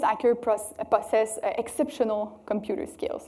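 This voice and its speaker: There is ordinary pitch variation as a woman speaks with a French Canadian accent. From Quebec City, Canada. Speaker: cybersecurity researcher. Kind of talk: conference talk. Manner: hesitant, many fillers.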